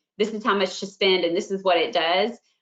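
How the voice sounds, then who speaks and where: A woman talks at a medium pitch. Her pace is fairly quick. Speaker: franchise marketing director. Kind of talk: webinar presentation. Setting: online webinar. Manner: fast.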